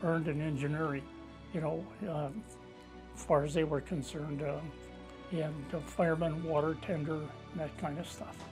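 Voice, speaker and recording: A man with an American accent talks at a moderate pace, his pitch fairly high and his intonation fairly even. Music plays in the background. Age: 80s+. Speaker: war veteran. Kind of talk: interview answer. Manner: halting, conversational.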